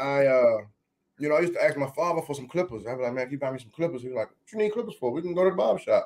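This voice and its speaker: A man talks very fast in an American accent, his pitch fairly high and his intonation lively. His loudness swings widely. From Maryland, Washington DC area. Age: 30s. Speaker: barbershop owner and barbecue caterer. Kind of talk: casual interview chat. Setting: studio.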